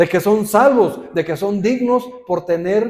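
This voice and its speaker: The man's tone is dark and mellow, and he speaks at a fairly slow pace. His intonation is lively. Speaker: pastor. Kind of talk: sermon. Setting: church. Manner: serious, stern-sounding.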